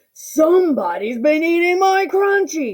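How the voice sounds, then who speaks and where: At a moderate pace, a put-on character voice speaks at an extremely high pitch. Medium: read story.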